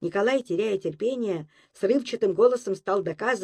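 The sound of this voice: Unforced reading voice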